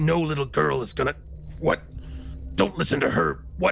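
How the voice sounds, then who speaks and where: Against clear music in the background, a man puts on a character voice and speaks at a moderate pace. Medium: actual play. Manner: gruff, blunt.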